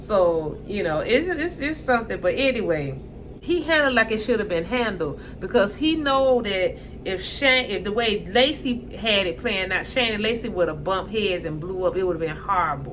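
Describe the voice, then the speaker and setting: Through audible room echo and noticeable background noise, an animated woman with a strong Southern US accent talks at medium pitch with very wide pitch swings. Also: moderate pace. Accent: strong Southern country dialect. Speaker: YouTuber reality TV commentator. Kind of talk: casual commentary monologue.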